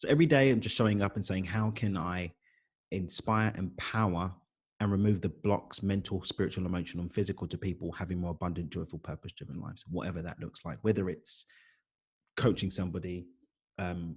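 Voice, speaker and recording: A man speaks with a London accent at a fairly quick pace, his pitch very deep and low. The recording is very clean, with a silent background. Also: ordinary pitch variation. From East London, England. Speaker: life coach and author. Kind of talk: podcast interview.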